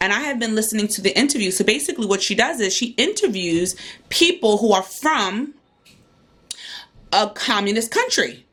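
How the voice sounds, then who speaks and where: Her intonation is lively. The woman leaves long, frequent pauses. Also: fairly high pitch for a woman, moderate pace. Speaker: homeschooling mom vlogger. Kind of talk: casual vlog.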